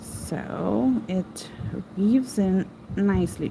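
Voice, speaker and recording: The speaker is a woman with a medium pitch. She talks with a non-native accent. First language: not English. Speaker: crochet teacher. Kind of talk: live stream tutorial. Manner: casual, chatty.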